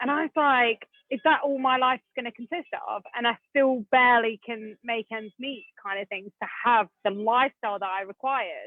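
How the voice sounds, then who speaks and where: With an English accent, a woman speaks in an animated tone at a high pitch and a moderate pace, with ordinary pitch variation, big swings in loudness and hardly any pauses. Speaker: property investor. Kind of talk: podcast interview.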